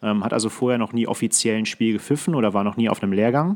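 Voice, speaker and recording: A man with an unremarkable speaking voice talks at a fairly quick pace, his pitch varying in an ordinary way. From Ruhr area, Germany (Datteln). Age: 20s. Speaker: hockey referee. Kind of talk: casual chat. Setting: video call.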